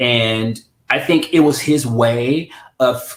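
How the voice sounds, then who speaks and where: Somewhat breathy and medium in pitch, a man's voice moves with ordinary pitch variation. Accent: American. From US Midwest, St. Louis. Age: 30s. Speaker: interview guest. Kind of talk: personal interview. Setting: livestream.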